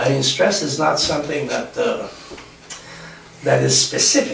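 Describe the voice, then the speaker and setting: At a moderate pace, a man talks with audible room echo and noticeable background noise. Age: 60s. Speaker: self-help author and workshop speaker. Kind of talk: live talk to an audience. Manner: halting, many fillers.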